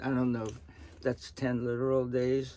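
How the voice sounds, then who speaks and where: This man speaks with an American accent and a medium pitch. His tone is dark and mellow, and his pace is moderate. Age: 60s. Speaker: retired government manager. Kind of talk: Bible reading with commentary. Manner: grandfatherly, conversational.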